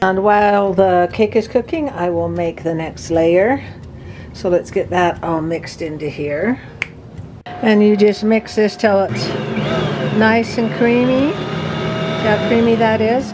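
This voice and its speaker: A woman talks very slowly as noticeable background noise carries on. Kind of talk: cooking tutorial. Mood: relaxed and friendly. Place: kitchen.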